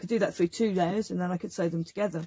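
The voice is somewhat breathy with a dark, mellow tone and ordinary pitch variation, in a dry sound with no echo. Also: woman. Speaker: craft demonstrator. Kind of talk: tutorial. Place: workshop.

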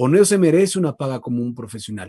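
Lively in intonation, a man's dark, mellow tone comes through dry, with no echo. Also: quiet background. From Ecuador, Loja; Ecuador. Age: 20s. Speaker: voice-over artist and radio announcer; radio announcer. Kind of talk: casual interview chat. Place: studio. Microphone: video call.

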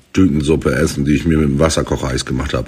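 The voice carries vocal fry. It moves at a fairly quick pace. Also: man. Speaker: social media personality. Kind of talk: casual vlog monologue. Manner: animated.

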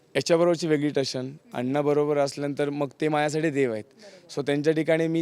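A man speaks with a fairly high pitch. He has a plain, everyday voice. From rural Maharashtra, Pandharpur area. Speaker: TV serial actor. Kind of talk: interview.

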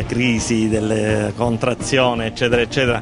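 A man at a moderate pace with fairly even intonation, dry sound with no echo, and clear music in the background. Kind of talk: interview answer. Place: beach. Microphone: handheld.

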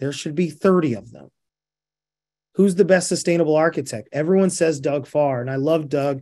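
This man has a fairly high pitch, an American accent, and a dark, mellow tone, speaking at a fairly quick pace with ordinary pitch variation over a quiet background. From Indiana. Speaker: real estate developer; guest. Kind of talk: presentation and Q&A. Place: home room. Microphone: video call.

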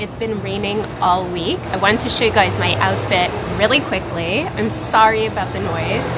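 A woman talks at a moderate pace. Loud background noise fills the recording. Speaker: vlogger. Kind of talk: casual talk to camera. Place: garden.

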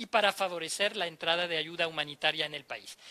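A man talks in a raised, projected voice. His pace is moderate. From France. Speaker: ambassador. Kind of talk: interview. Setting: live on-location event. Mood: calm, measured. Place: hall. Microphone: handheld.

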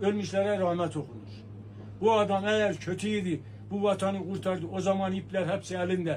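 A man talks at a moderate pace. Light background noise can be heard. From Turkey, Erzurum; Turkey. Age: 70s. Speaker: elderly man interviewed; interviewee. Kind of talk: street interview. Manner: animated. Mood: earnest, emphatic. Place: shop.

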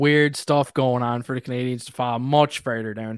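A man at a moderate pace, in a dry sound with no echo and a quiet background. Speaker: hockey YouTuber. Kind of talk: casual chat. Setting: video call. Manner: animated. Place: home room. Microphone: studio mic.

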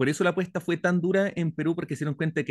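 Very fast speech in a Chilean accent, dry with no echo, over a quiet background. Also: man. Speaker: audience participant; audience member. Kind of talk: audience question. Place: home room. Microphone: studio mic.

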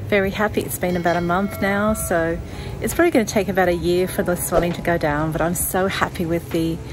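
A woman rattles off her words very fast, pitch varying in an ordinary way, with noticeable background noise behind her. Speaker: sailing vlogger. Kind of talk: casual vlog chat. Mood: cheerful, smiling. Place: garden. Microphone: phone near.

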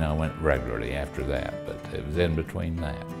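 Clear music plays in the background. Over it, a man is speaking. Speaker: dental patient. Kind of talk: interview answer. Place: office. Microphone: lapel.

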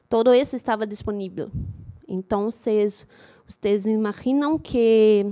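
Against a quiet background, a woman speaks very slowly in a dark, mellow tone at a fairly high pitch. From Rio de Janeiro, Brazil. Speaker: data journalist and conference speaker; data journalist, conference speaker. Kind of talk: conference talk. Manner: halting, many fillers. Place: hall. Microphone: poor microphone.

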